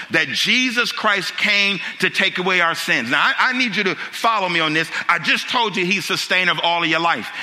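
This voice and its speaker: Amid noticeable background noise, a high-pitched man with an animated tone speaks at a moderate pace and ordinary pitch variation. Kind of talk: sermon. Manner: animated, call-and-response preaching with rhetorical questions.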